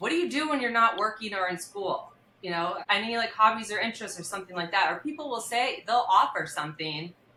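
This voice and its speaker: A woman's fairly high, very fast voice with very wide pitch swings, hardly any pauses and loud delivery, amid noticeable background noise. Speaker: criminal defense attorney. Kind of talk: podcast interview. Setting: studio. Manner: naturally loud.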